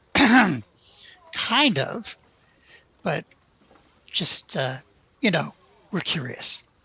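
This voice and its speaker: In a raspy, put-on character voice, the pitch swings very widely. The delivery is very slow, broken by long, frequent pauses. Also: man, high pitch for a man. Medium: actual play. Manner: blunt, terse.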